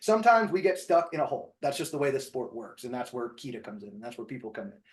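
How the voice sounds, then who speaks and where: Talking at a very fast pace in an American accent, a man uses a fairly high pitch with very wide pitch swings and big swings in loudness. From New Jersey. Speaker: podcast host and shooting instructor. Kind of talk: casual podcast discussion.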